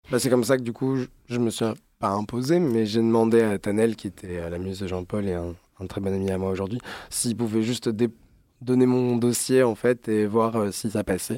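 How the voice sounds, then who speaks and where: On a very clean recording with a silent background, a man speaks in a dark, mellow tone. His pitch variation is ordinary. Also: medium pitch for a man, moderate pace. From Alsace, Strasbourg. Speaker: fashion designer. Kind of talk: interview. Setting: studio.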